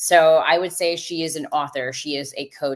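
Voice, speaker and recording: A woman with an unremarkable speaking voice and a fairly low pitch talks at a moderate pace with fairly even intonation. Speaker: podcast host. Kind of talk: live podcast hosting. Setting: live stream video call.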